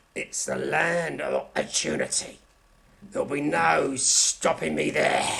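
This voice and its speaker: A man uses a put-on character voice with a raspy quality. He talks at a fairly slow pace. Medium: audio drama. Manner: bitter, self-promoting.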